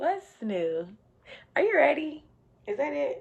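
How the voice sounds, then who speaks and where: A woman talks at a fairly slow pace in an animated tone. Her pitch swings very widely. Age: 20s. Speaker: YouTuber and exotic dancer. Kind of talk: casual Q&A vlog.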